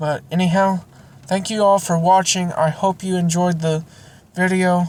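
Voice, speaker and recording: A woman speaks at a fairly slow pace in a fairly low, somewhat breathy voice, her intonation flat and monotone. The recording is very clean, with a silent background. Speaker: Bible reading channel owner. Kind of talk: reading aloud; casual outro. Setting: near a car warming up.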